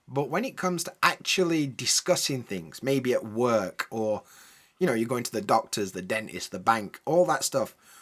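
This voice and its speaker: Over a silent background in a very clean recording, a man with a British accent talks at a moderate pace with very wide pitch swings. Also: medium pitch for a man. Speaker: English teacher. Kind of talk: educational podcast talk. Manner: casual, friendly.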